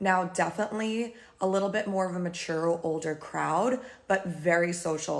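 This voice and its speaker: A woman with an American accent has a plain, everyday voice, fairly low in pitch, with fairly even intonation. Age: 30s. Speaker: beauty and lifestyle vlogger. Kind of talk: casual vlog recap.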